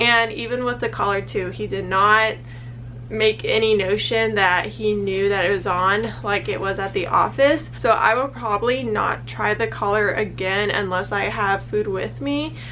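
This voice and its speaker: The recording has audible room echo and noticeable background noise. The speech moves at a moderate pace. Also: woman. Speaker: vlogger training her puppy. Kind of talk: casual vlog talk to camera. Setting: at the office during lunch. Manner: quiet, talking softly.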